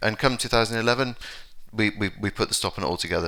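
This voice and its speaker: With an English accent, a man speaks very fast in a bright, sharp tone. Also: very clean recording, silent background. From London, England. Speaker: conference speaker. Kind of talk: conference talk. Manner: halting, many fillers and repetitions.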